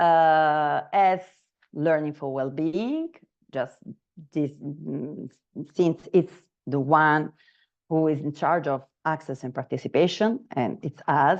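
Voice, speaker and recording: Against a quiet background, a woman with an Italian accent speaks very slowly at a very deep, low pitch. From Italy, Naples. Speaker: trainer. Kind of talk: online training session. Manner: halting, many fillers.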